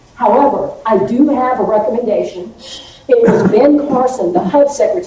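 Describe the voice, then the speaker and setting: A woman speaks in a fairly high voice with an American accent. Audible room echo and noticeable background noise come through. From Texas, Victoria. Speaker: political candidate. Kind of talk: campaign speech.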